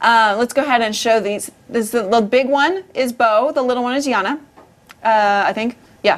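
Using an unremarkable speaking voice, a woman speaks at a moderate pace and fairly high pitch with ordinary pitch variation. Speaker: podcast host. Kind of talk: casual banter.

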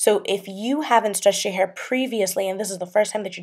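The background is quiet as a woman talks with fairly even intonation. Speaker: hair care vlogger. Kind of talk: tutorial. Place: home room.

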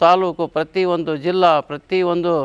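Recorded dry and close with no echo, a man talks at a high pitch. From Karnataka, Huvina Hadagali (Vijayanagara district). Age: 70s. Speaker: retired teacher and meditation promoter. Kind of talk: interview testimony.

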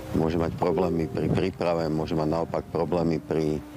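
A man speaks with a very deep, low pitch and a monotone, flat intonation. The sound is dry with no echo, and there is noticeable background noise. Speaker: film producer. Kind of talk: interview soundbite. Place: street. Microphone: handheld.

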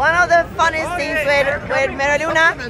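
A woman raises and projects her voice at a moderate pace, the sound dry with no echo and crowd noise in the background. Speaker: festival vlogger. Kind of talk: casual vlog chat. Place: open country. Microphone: phone near.

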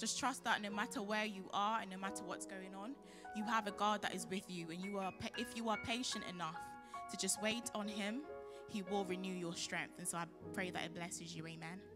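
Clear music plays in the background as a woman speaks at a fairly quick pace. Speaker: spoken word poet. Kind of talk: casual introduction to church audience. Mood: calm, encouraging, prayerful. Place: stage. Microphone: handheld.

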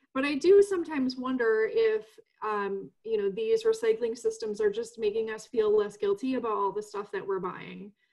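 A woman talks at a moderate pace with an American accent. The background is quiet. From US Midwest, DuPage County, Illinois; Illinois. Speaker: environmental advocacy executive director; panelist. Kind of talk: panel discussion. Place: home room. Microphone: webcam.

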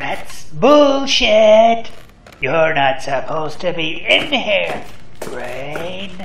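A man speaks at a very slow pace in a high pitch, his voice making very wide pitch swings. An audible echo surrounds the recording. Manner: suspicious, taunting.

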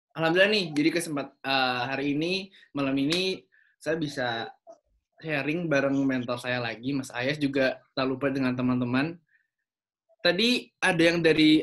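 The background stays quiet. At a moderate pace, a man speaks with ordinary pitch variation. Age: young. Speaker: young entrepreneur; presenter. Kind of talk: online seminar talk. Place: home room. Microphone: video call.

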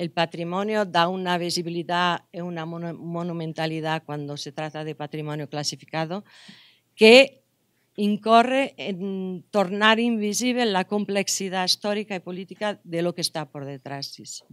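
A woman with a Portuguese accent speaks at a fairly slow pace in a fairly low voice with ordinary pitch variation. Her loudness swings widely, in a dry sound with no echo against a quiet background. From Portugal. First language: Portuguese (speaking Spanish). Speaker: anthropology professor; university lecturer. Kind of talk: lecture. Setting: conference room with audience. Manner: halting. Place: hall. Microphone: podium.

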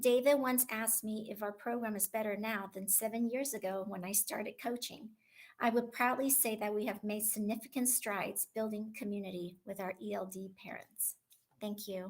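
Heard in a very clean recording with a silent background, a woman uses an ordinary speaking voice with an American accent. Her pitch is fairly high, her intonation fairly even and her pace moderate. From Taiwan, then Southern California from childhood. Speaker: school instructional coach. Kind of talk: prepared speech at school board meeting. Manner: formal.

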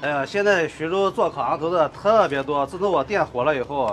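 With lively intonation and a fairly high pitch, a man speaks at a moderate pace against noticeable background noise. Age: 30s. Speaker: street food stall owner. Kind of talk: casual interview. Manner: confident. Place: shop.

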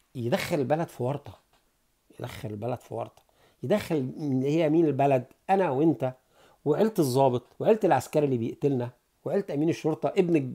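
Lively in intonation, a man with an Egyptian accent talks at a fairly quick pace. His voice sits fairly high yet has a dark, mellow tone. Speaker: political commentator. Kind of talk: satirical monologue. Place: home room. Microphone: earbuds.

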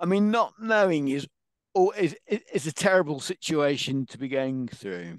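A fairly high-pitched man speaking fairly slowly with lively intonation and big swings in loudness, in a dry sound with no echo against a quiet background. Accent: English. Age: 50s. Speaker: patient advocate with Parkinson's; interview guest. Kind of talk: interview. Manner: animated. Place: home room. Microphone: headset.

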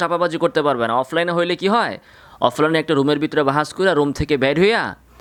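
Here a man speaks at a fairly high pitch in an animated tone. His pitch varies in an ordinary way. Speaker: Islamic scholar taking calls. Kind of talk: phone-in religious discussion.

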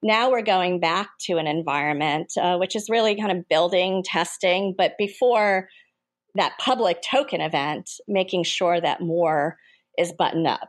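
A woman has a plain, everyday voice at a medium pitch with ordinary pitch variation. She speaks at a moderate pace over a quiet background. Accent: American. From United States. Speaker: venture capitalist. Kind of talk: interview.

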